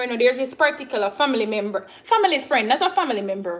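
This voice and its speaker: With a Jamaican accent, a woman talks at a fairly quick pace, her pitch swinging very widely. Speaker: YouTuber doing a cooking livestream. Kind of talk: casual livestream chat. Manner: halting, many fillers and restarts.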